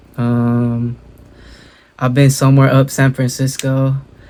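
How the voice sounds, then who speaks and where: In an American accent, a man speaks at a very slow pace. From Southern California (Inland Empire). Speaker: reaction video YouTuber. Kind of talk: casual reaction commentary. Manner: casual, filler-heavy slang.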